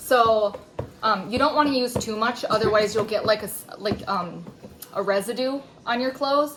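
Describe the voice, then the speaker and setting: A woman with a fairly high pitch and ordinary pitch variation talks while noticeable background noise comes through. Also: moderate pace. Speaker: DIY video creator. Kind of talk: tutorial. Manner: casual, with many filler ums.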